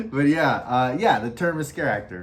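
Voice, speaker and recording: A man speaks with an American accent and ordinary pitch variation. There is audible room echo. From Los Angeles, US West Coast. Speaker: podcast host and scare actor. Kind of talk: casual chat. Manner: halting, many fillers.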